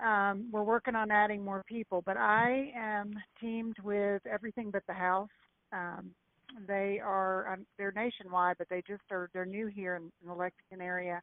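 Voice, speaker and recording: Speaking at a moderate pace, a woman with a Kentucky accent keeps her medium-pitched voice to fairly even intonation. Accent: Kentucky Southern. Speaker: real estate agent. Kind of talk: call-in question on a group call.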